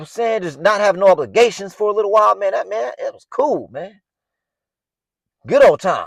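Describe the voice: A man talks at a fast pace with lively intonation and a fairly high pitch, in a dry, close sound with no echo.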